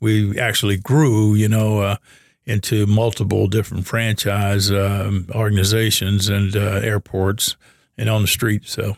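Monotone, flat delivery with an American accent at a fairly slow pace, very even in loudness, on a very clean recording with a silent background. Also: man, fairly low pitch for a man. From US South, Louisville Kentucky. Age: 70s. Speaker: business owner and former athlete. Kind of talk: casual interview. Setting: studio. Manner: halting, filler-heavy.

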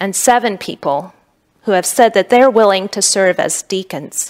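A woman with an ordinary speaking voice talks at medium pitch and a fairly slow pace. Her intonation stays fairly even, and the sound is dry and close with no echo. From United States, Korean immigrant family. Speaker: pastor. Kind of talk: sermon.

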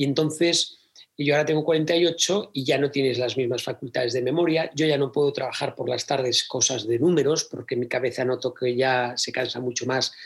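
In a normal speaking voice, a man with a fairly high pitch talks at a moderate pace with fairly even intonation. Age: 40s. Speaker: theatre producer and speaker. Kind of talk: interview conversation.

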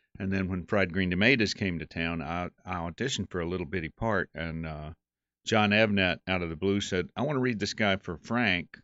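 Speaking at a fairly quick pace in a Southern US accent, a man has a very deep, low pitch and ordinary pitch variation. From Western North Carolina. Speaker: actor and director. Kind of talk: casual interview.

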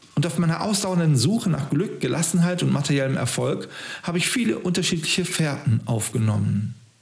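There is noticeable background noise and audible room echo. A man speaks with lively intonation at a fairly high pitch. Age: 50s. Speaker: podcast host. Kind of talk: scripted narration.

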